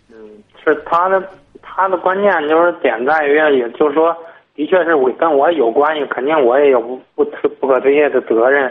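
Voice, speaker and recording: Speaking at a moderate pace, a man uses a plain, everyday voice, fairly high in pitch with ordinary pitch variation. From Tangshan, Hebei, China. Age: 20s. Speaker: caller. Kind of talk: phone-in advice call. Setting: phone call.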